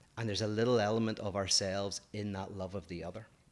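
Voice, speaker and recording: A man with an Irish accent speaks at a fairly low pitch with fairly even intonation. The recording is very clean, with a silent background. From Ireland. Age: 40s. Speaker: philosopher, podcast co-host. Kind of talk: casual chat.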